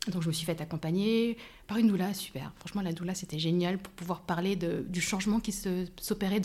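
A woman's somewhat breathy voice at medium pitch, dark and mellow in tone, with fairly even intonation and a fairly quick pace. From France. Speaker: life coach. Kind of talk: casual interview. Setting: in person.

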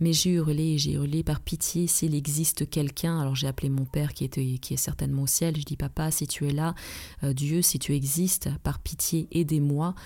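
A woman's very deep, low voice, somewhat breathy and dark and mellow in tone, monotone and flat at a moderate pace, in a very clean recording with a silent background. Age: 40s. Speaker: relaxation therapist and trainer. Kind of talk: advice podcast monologue.

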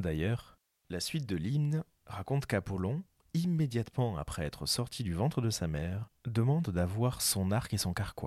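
A man speaks with very wide pitch swings, dry and close with no echo, on a very clean recording with a silent background. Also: medium pitch for a man, moderate pace. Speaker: podcast narrator. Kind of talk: epic mythic narration, reading ancient Greek poetry aloud. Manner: solemn, measured, lyrical.

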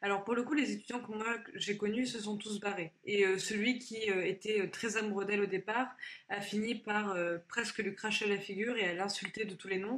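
Noticeable background noise is present. A woman speaks over it at medium pitch with fairly even intonation. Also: moderate pace. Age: 20s. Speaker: former employee sharing her story. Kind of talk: testimony. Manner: halting.

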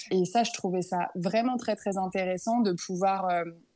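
A woman speaks at medium pitch in a dark, mellow tone, with fairly even intonation and a moderate pace, over a quiet background. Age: 20s. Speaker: work psychologist. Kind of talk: testimony.

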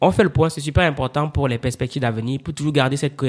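Animated and very fast, a man speaks at a fairly high pitch with ordinary pitch variation on a very clean recording with a silent background. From Cameroon, Yaoundé. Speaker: publisher and author. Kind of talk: interview.

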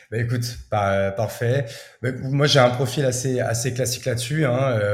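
A man speaks at a medium pitch, somewhat breathy, with fairly even intonation. Audible room echo surrounds his voice. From France, Champagne-Ardenne. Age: 30s. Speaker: entrepreneur. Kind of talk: interview. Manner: casual, filler-heavy.

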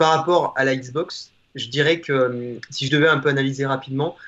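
A man has an unremarkable speaking voice with a fairly high pitch. His intonation is fairly even. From Auvergne, France. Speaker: guest gamer. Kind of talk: casual chat. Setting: video call.

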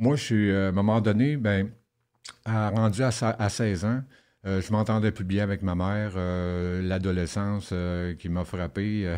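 A man speaks very slowly in a fairly low pitch with fairly even intonation. His tone is dark and mellow. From Quebec (Rouyn-Noranda, Saguenay-Lac-Saint-Jean). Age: 50s. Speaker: former inmate. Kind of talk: interview testimony.

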